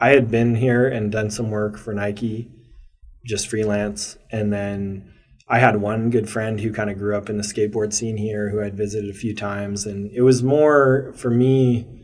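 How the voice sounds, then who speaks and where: A man with a fairly low pitch talks at a moderate pace. His intonation is fairly even, and audible room echo surrounds him. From Maryland, US. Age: 30s. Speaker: brand co-founder and photographer. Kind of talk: interview.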